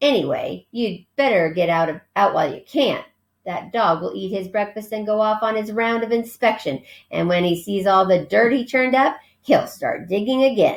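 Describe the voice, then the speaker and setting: A woman uses a gruff put-on character voice, pitched fairly high, with lively intonation at a moderate pace. The recording is very clean, with a silent background. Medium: read story. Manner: gruff, curt.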